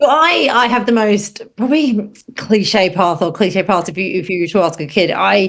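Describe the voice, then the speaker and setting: Speaking with a British accent, a woman uses lively intonation, a medium pitch and a moderate pace. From northern England. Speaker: space journalist and TV presenter. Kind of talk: podcast interview.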